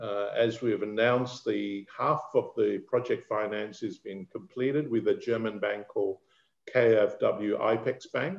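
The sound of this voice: Speaking at a fairly slow pace, a man with a fairly low pitch and vocal fry has a slightly mellow tone and ordinary pitch variation.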